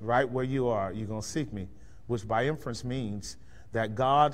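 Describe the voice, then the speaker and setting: Speaking at a medium pitch, a man lets his pitch vary in an ordinary way. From Bay Area, California; California. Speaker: pastor. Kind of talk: lecture. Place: church.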